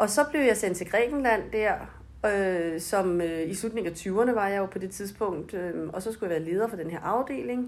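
Moderate-paced speech from a woman, medium in pitch and with ordinary pitch variation. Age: 40s. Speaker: brand manager. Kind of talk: interview. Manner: hesitant, many fillers.

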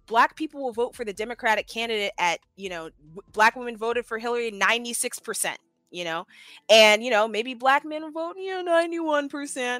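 Over background music, a woman with an American accent and a fairly high pitch talks at a moderate pace with very wide pitch swings, the sound dry and close with no echo. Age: 20s. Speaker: political campaigner. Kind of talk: casual chat.

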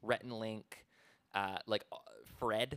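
His tone bright and sharp, a man speaks at medium pitch with ordinary pitch variation, in a dry, close sound with no echo. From small town. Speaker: podcast co-host. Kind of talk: casual chat.

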